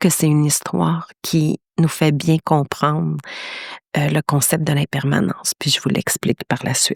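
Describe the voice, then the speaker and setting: Her voice is very deep and low for a woman, with lively intonation at a fairly slow pace. The sound is dry and close, with no echo. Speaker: podcast host, meditation teacher. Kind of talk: podcast storytelling. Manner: hesitant, many fillers.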